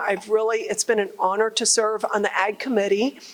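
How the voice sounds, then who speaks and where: A woman with a fairly high-pitched voice speaks over noticeable background noise. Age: 60s. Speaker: congresswoman and farmer. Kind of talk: public remarks at a listening session. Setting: agricultural show hall with audience.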